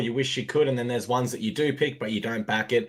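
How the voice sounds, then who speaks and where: Talking at a very fast pace, a man speaks at a medium pitch with an Australian accent. His intonation is fairly even. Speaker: sports betting podcast host. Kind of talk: casual sports chat. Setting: live stream.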